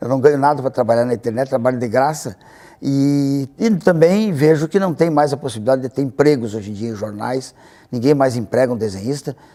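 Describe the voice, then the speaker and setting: A man talks at a fairly quick pace with a medium pitch and ordinary pitch variation. His tone is dark and mellow. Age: 60s. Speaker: cartoonist. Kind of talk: interview. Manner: halting, frequent repetitions.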